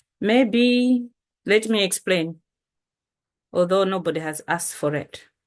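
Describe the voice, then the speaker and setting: A woman with a strong Malawian accent, ordinary pitch variation, a fairly slow pace, and long, frequent pauses. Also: medium pitch for a woman. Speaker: poet. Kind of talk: poetry reading. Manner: loud.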